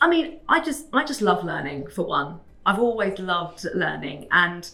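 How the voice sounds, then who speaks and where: A woman with a British accent at a moderate pace. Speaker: fraud prevention professional. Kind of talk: interview. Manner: halting.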